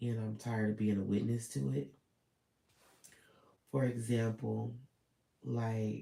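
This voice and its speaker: A man's medium-pitched voice, dark and mellow, somewhat breathy, at a fairly slow pace with ordinary pitch variation and long, frequent pauses. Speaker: vlogger. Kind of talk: personal vlog monologue. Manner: hesitant, filler-heavy.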